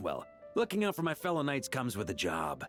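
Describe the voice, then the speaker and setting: Clear music plays behind a man doing a raspy, put-on character voice at a fairly high pitch. He talks at a fairly quick pace. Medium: game stream. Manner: laughing, casual.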